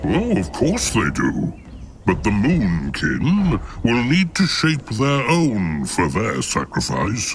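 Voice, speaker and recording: Clear background noise sits behind a man's put-on character voice. He talks at a very slow pace. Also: medium pitch for a man. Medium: video game. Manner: refers to self in third person.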